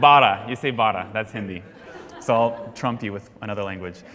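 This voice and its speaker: Audible room echo surrounds a man who speaks with an American accent. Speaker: Sunday school teacher. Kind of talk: interactive Bible class lecture. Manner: call-and-response questioning.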